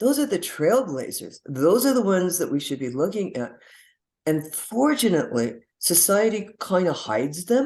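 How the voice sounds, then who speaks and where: A woman's medium-pitched voice at a moderate pace, with very wide pitch swings, against a quiet background. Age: 70s. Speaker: health and wellness coach. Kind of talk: interview. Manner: halting.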